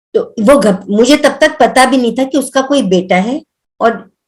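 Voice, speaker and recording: A woman's voice with lively intonation. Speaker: devotee sharing spiritual experiences. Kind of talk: testimony. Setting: video call. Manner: loud.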